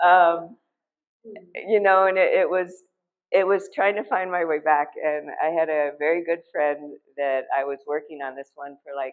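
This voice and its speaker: A woman with an American accent, fairly low in pitch, at a moderate pace with ordinary pitch variation. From Ohio, US Midwest. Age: 60s. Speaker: artist. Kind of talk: artist talk at gallery. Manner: halting, many fillers.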